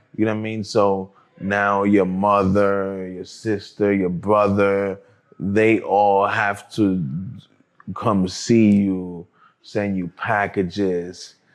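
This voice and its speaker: A man with a New York accent, a fairly low pitch, monotone, flat intonation and a very slow pace. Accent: New York City. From New York City, Harlem. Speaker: cannabis entrepreneur, formerly incarcerated. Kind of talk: interview conversation.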